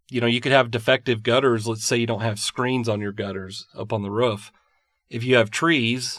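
Moderate in pace, this man has an unremarkable speaking voice at a medium pitch. His intonation is fairly even. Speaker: podcast host, mold consultant. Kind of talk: casual educational chat.

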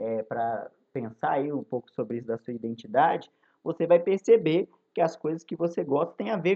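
A man with lively intonation. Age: 20s. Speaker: history teacher. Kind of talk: recorded lesson for students. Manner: casual, many filler hesitations.

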